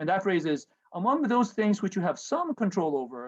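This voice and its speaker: Speaking with a Japanese accent, a man moves at a fairly quick pace with lively intonation. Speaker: professor. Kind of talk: lecture. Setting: video call. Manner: halting, many fillers.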